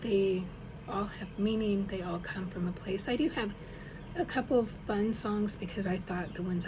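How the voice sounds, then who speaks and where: Audible room echo and noticeable background noise fill the recording. A woman at medium pitch talks at a moderate pace with fairly even intonation. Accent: American. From Arkansas and Denver. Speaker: songwriter. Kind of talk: casual personal talk to camera. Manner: halting, with fillers.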